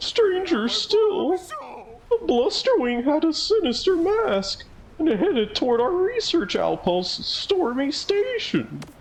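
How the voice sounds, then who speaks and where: In a put-on character voice with an extremely high pitch and very wide pitch swings, the speaker goes at a fairly slow pace over clear background noise. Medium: game stream.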